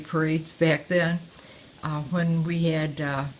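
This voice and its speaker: A woman's fairly low voice comes with an American accent. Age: 80s+. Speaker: war-era eyewitness. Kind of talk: oral history interview. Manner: halting, with frequent fillers.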